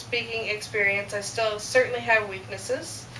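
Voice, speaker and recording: Amid noticeable background noise and audible room echo, a woman talks in a fairly high pitch with ordinary pitch variation. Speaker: student. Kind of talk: class speech. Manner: fast.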